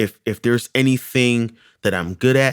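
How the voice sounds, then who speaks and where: A man's fairly low-pitched voice, dry and close, with no echo. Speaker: podcast co-host. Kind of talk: casual chat. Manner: loud; casual, repetitive with false starts.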